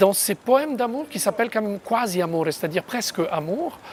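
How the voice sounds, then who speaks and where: The speaker has an Italian accent. Background noise is noticeable. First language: Italian (speaking French). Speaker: poet. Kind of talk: interview. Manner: hesitant, many fillers.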